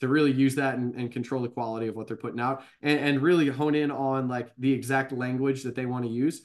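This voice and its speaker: This is an ordinary speaking voice with an American accent. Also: man. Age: 30s. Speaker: baseball coach. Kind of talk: interview.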